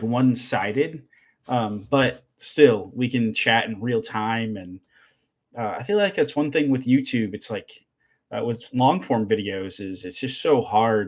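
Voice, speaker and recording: Recorded very cleanly against a silent background, a man with an American accent speaks at a fairly slow pace with ordinary pitch variation. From Michigan. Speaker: woodworking and CNC YouTuber. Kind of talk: live stream chat with viewers. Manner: halting, many fillers.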